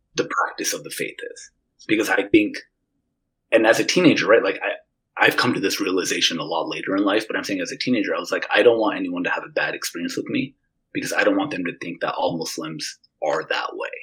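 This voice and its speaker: Very fast and with big swings in loudness, a man speaks with an American accent. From Utah. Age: 30s. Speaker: former classmate, works with students. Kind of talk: casual interview chat.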